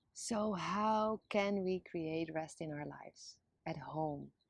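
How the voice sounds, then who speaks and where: With a Dutch accent, a woman talks at a fairly low pitch with ordinary pitch variation against a quiet background. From Netherlands. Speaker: video blogger. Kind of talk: scripted monologue.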